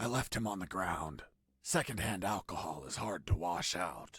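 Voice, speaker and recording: Putting on a character voice, a man goes very deep and low in pitch, with lively intonation at a moderate pace. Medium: video game. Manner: deadpan, wry.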